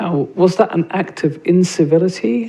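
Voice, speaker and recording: Against noticeable background noise, a man speaks at a moderate pace in a high pitch. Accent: British. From England. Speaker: nonprofit CEO and panelist. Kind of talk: panel talk. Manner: halting, many fillers and restarts.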